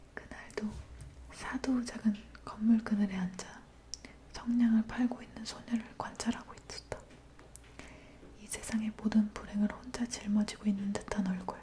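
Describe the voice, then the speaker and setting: Someone whispers at a fairly slow pace, with long, frequent pauses, over noticeable background noise. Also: woman. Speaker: ASMR artist. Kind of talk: fairy tale reading. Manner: whispered.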